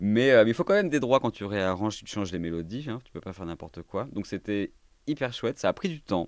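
An unremarkable speaking voice from a man, fairly low in pitch, with lively intonation, big swings in loudness, and a dry, close sound with no echo against a quiet background. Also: fairly quick pace. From Paris region and southern France. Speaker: pianist and cabaret drag performer. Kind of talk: interview conversation.

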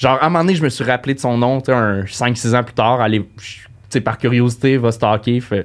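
Talking at a moderate pace, a man uses a plain, everyday voice. His pitch is medium, with ordinary pitch variation. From Quebec, Saint-Eustache. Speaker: comedian. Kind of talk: casual chat.

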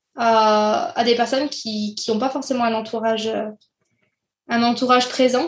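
With music in the background, a woman talks at a high pitch with fairly even intonation. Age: 20s. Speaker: childcare professional, club co-founder. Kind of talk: casual interview. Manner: hesitant, many fillers.

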